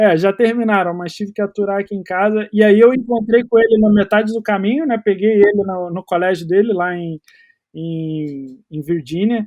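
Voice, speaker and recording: At a moderate pace, a high-pitched man speaks with ordinary pitch variation and big swings in loudness. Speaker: American football coach and player. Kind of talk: podcast interview.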